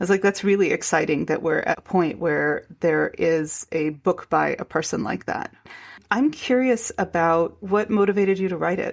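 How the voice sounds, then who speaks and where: In a very clean recording with a silent background, a woman with a medium-pitched voice and vocal fry speaks at a fairly slow pace with ordinary pitch variation. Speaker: podcast host. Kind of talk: podcast interview.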